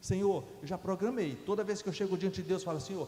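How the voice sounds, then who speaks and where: The voice shows ordinary pitch variation. Noticeable background noise sits behind it. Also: man. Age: 60s. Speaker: guest preacher. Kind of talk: sermon. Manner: halting, with false starts.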